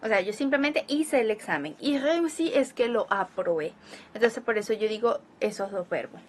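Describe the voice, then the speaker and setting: Over noticeable background noise, a woman with a fairly high pitch talks at a moderate pace, her pitch swinging very widely. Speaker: language teacher. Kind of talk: tutorial. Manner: conversational, explanatory.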